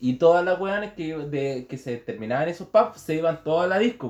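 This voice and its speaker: Speech comes at a fairly quick pace with lively intonation in a Chilean accent. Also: man. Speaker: podcast co-host. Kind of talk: casual chat.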